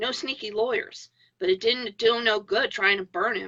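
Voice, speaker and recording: In a put-on character voice, a woman speaks raspily at a fairly high pitch and a moderate pace. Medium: read story. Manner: flat, plain-spoken.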